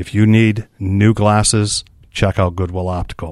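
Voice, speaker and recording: A man's fairly low voice in a flat monotone with a Michigan accent, at a moderate pace, on a very clean recording with a silent background. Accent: Upper Midwest (Michigan) American. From Muskegon, Michigan. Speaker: nonprofit executive. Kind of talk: interview.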